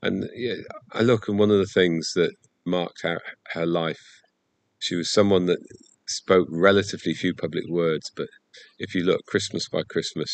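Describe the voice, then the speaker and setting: Recorded with a dry, close sound and no echo, a man with a very deep, low pitch speaks at a moderate pace. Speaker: church Bible teacher. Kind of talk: Bible study talk.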